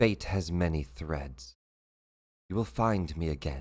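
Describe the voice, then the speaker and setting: Putting on a character voice, a man speaks at a fairly slow pace with a very deep, low pitch. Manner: ominous.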